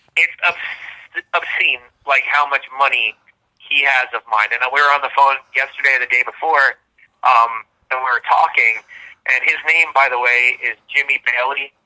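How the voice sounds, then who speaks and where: Loud and bright with a sharp tone, a man speaks at medium pitch and a moderate pace, his intonation fairly even and the sound dry and close with no echo. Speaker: metal band guitarist. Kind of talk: casual interview chat.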